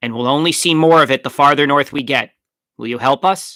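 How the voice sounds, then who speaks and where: Putting on a character voice, a man speaks in a raised, projected way at a fairly quick pace and fairly high pitch, the sound dry and close with no echo. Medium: read story. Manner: brisk, commanding.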